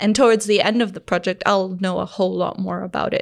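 At a very fast pace, a speaker with vocal fry keeps a fairly even intonation on a very clean recording with a silent background. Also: woman. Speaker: startup founder and designer. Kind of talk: casual interview.

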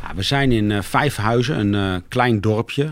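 At a fairly slow pace, a man with a fairly low pitch speaks with ordinary pitch variation. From Ede, Gelderland, Netherlands. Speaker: tree care company coordinator. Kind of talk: interview. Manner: halting.

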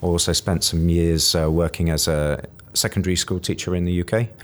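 With a British accent, a man speaks fairly quickly in a very deep, low voice and a monotone, flat intonation. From rural UK. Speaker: career coach. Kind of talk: interview. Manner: hesitant, many fillers.

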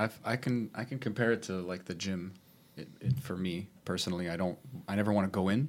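The man's pitch is fairly low, with ordinary variation. He moves at a fairly quick pace. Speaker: podcast co-host. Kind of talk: casual chat. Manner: fast talker.

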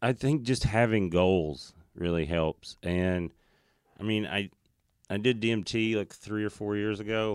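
On a very clean recording with a silent background, a man with a Southern US accent speaks fairly slowly at a fairly low pitch with ordinary pitch variation. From Tennessee, US South. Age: 30s. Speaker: stand-up comedian. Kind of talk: casual chat.

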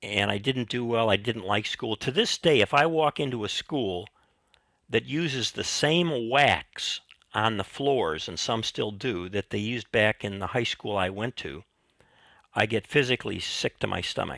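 A man with an American accent speaks at a moderate pace and medium pitch, his bright, sharp tone and lively intonation caught in a dry, close sound with no echo. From US Midwest. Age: 70s. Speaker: retired professor and teaching mentor. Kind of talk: interview conversation.

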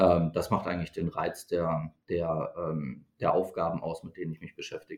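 A man talks at a moderate pace with hardly any pauses. His loudness swings widely. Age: 40s. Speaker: startup co-founder and CEO. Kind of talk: interview. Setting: studio, in person. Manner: hesitant fillers.

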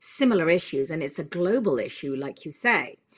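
A woman speaks at a moderate pace with a British accent and a fairly low pitch. The recording is very clean, with a silent background. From UK. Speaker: film director. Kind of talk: interview.

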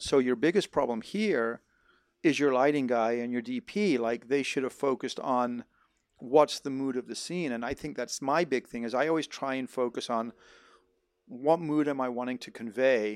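A man with a normal speaking voice speaks at a moderate pace with medium pitch and ordinary pitch variation, in a dry, close sound with no echo and a very clean recording with a silent background. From Netherlands (American raised in Holland). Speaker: filmmaker and sound mixer. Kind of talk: casual chat. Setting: home garage.

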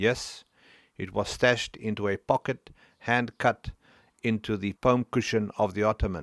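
This is an unforced reading voice with fairly even intonation. The background is quiet.

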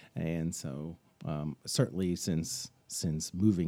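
A man's very deep, low pitch with a dark, mellow tone and ordinary pitch variation. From Israel. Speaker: church member. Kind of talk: interview.

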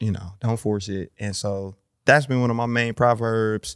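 A man with an American accent talks at a fairly slow pace in a normal speaking voice, medium in pitch, with a dry, close sound, no echo, a very clean recording and a silent background. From Milwaukee, Wisconsin. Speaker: rapper. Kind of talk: casual chat. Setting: studio.

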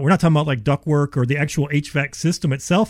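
A man with an American accent and a fairly high pitch, talking at a very fast pace. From Ohio. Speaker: insulation company expert. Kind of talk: radio interview, sales pitch. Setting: radio studio. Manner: fast talker, excitable.

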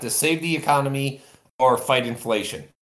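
This man's voice sits fairly high, with fairly even intonation. It is a normal speaking voice. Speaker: caller. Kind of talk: casual chat.

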